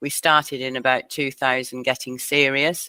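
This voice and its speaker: A woman with a Lancashire accent and a very deep, low pitch speaks at a moderate pace in a bright, sharp tone, the sound dry and close with no echo on a very clean recording with a silent background. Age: 60s. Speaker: community broadband founder. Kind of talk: interview.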